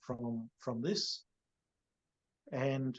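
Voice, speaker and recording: Australian accent from a man at a medium pitch. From Cairns, Queensland, Australia. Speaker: real estate agency CEO. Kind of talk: podcast interview answer. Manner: casual, conversational.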